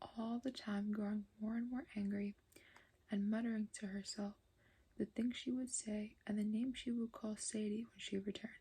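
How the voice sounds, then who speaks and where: A soft-spoken, somewhat breathy woman's voice at a fairly high pitch, dark and mellow in tone, flat and monotone in intonation, at a moderate pace. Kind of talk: ASMR audiobook reading.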